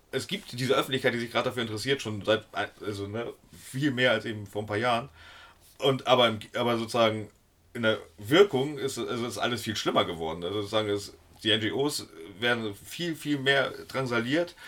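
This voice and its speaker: A man's plain, everyday voice at a medium pitch, fairly quick in pace, with ordinary pitch variation. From Hamburg, northern Germany. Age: 40s. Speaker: sea rescue activist. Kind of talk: interview.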